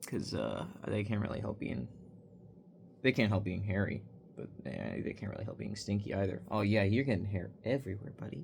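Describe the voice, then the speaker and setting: Vocal fry runs through speech delivered fairly quickly. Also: man, fairly low pitch for a man, ordinary pitch variation. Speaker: vlogger. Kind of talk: casual chat. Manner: quieter than usual; rambling with fillers.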